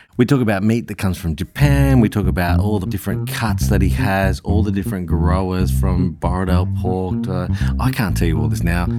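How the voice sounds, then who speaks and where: In a very clean recording with a silent background, a man with an Australian accent speaks in a very deep, low pitch with a dark, mellow tone. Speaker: podcast host. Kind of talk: casual interview chat.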